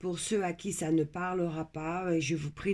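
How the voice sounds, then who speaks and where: Her voice is very deep and low in pitch. The woman talks at a very slow pace. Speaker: tarot card reader. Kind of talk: tarot reading. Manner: trying to speak louder; hesitant, many fillers.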